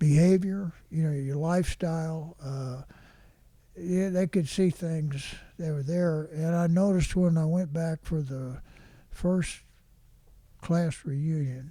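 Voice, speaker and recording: Pausing long and often, a man speaks at a very slow pace in a dark, mellow tone with a fairly high pitch and fairly even intonation. The recording is very clean, with a silent background. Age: 90s. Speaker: retired high school football coach. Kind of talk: interview answer.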